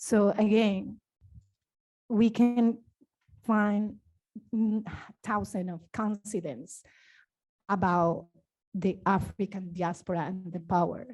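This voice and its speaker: A woman with a non-native accent speaks at a very slow pace with long, frequent pauses. Her voice is somewhat breathy over a quiet background. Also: medium pitch for a woman, ordinary pitch variation. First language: not English. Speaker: dancer. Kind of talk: panel discussion. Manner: halting.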